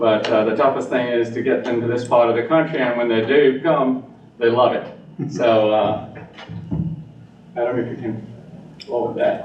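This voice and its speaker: A man speaks at a medium pitch, with fairly even intonation and long, frequent pauses. The recording has audible room echo and noticeable background noise. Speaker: engineer presenting to town council. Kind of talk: presentation. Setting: town council meeting. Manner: fast.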